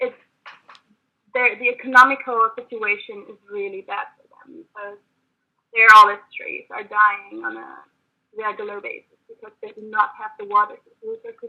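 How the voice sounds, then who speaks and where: A woman with a German accent speaks at a moderate pace, with long, frequent pauses. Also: big swings in loudness. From Germany. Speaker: activist. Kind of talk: debate. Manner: halting.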